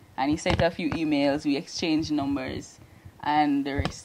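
Over noticeable background noise, a woman speaks at a moderate pace with fairly even intonation and a very deep, low pitch. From Jamaica, Trench Town, Kingston; Jamaica. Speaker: geography PhD candidate; interviewee. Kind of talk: interview testimony. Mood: warm, smiling. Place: office. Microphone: handheld.

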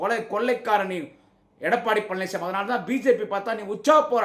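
A man speaks at a high pitch with ordinary pitch variation. Noticeable noise sits in the background. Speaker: political party orator / campaign speaker. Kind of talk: angry political rally speech.

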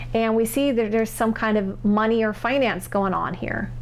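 At a moderate pace, a woman is speaking. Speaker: tarot reader. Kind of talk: tarot reading commentary. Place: home room.

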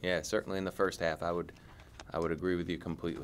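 Speaking fast, a man keeps his low voice with little pitch movement. The delivery stays quick throughout.

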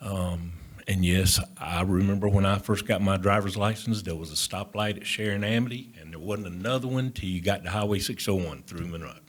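A fairly low male voice in a Southern US accent, with fairly even intonation and hardly any pauses. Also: fairly quick pace. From Union County, North Carolina. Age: 60s. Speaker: developer. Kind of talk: presentation to board. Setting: town planning board meeting.

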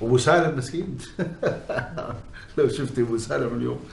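Light background noise is present. A man talks, and room echo can be heard. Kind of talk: acted drama dialogue. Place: home room.

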